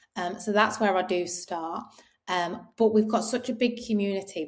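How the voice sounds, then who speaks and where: A woman in an English accent, medium in pitch, at a moderate pace with fairly even intonation. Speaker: clothing brand co-founder. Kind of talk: interview. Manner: quiet.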